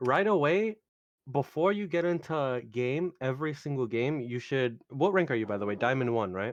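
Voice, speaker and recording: This man has an unremarkable speaking voice, with medium pitch, a moderate pace and lively intonation. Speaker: video game coach. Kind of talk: tutorial.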